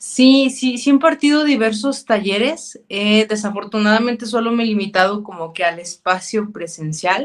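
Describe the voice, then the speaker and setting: Using a Mexican accent, a woman with a fairly high voice speaks at a moderate pace with lively intonation and hardly any pauses. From Mexico, Zacatecas. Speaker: clinical psychologist. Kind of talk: interview.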